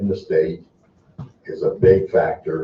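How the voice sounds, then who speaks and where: A man speaks very slowly with an American accent. His voice is somewhat breathy, with ordinary pitch variation. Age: 70s. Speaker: construction business owner testifying. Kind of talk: testimony. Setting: legislative hearing room.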